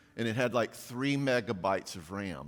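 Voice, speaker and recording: Animated tone and lively intonation at a moderate pace. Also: man. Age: 60s. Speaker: parenting speaker. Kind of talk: conference talk. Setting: church stage with audience and live stream. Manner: humorous, animated.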